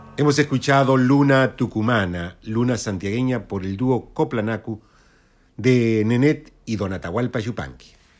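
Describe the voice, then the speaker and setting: In an unremarkable speaking voice, a man talks at a fairly slow pace. His pitch is medium, with ordinary variation. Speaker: radio host. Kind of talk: radio presentation.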